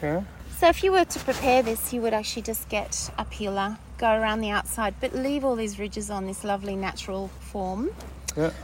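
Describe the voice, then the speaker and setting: Here a woman talks at a fairly quick pace. She has an Australian accent. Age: 50s. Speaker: former chef turned market gardener. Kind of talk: casual chat. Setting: outdoors.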